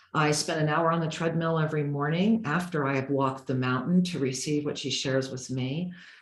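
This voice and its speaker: With hardly any pauses, a woman speaks at a fairly quick pace and a very deep, low pitch. There is audible room echo. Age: 60s. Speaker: spiritual teacher. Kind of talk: interview in video call. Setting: video call. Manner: animated.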